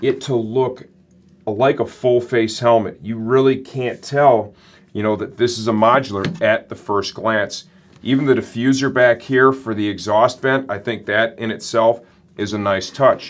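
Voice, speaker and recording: A man at a fairly slow pace, with fairly even intonation. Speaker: product reviewer. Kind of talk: product review presentation. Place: studio.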